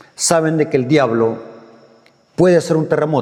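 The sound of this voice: A man speaks with big pitch swings. His tone is slightly mellow.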